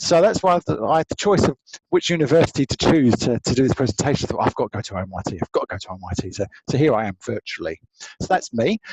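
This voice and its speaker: A man with an English accent, fairly high in pitch with very wide pitch swings, at a fairly quick pace in a dry, close sound with no echo. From England (Essex). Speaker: law lecturer. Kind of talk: online presentation. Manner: lively.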